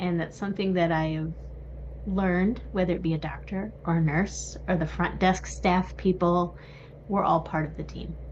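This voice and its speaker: Noticeable background noise and audible room echo surround speech delivered at a moderate pace. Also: woman. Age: 40s. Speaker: sign language interpreter. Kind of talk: casual chat.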